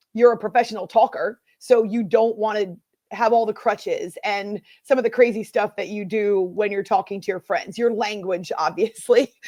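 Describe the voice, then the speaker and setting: A woman with an American accent speaks in a dark, mellow tone at a fairly high pitch, her intonation fairly even against a quiet background. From US Northeast. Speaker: sports radio host. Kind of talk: casual interview chat. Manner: fast talker; takes pauses on air.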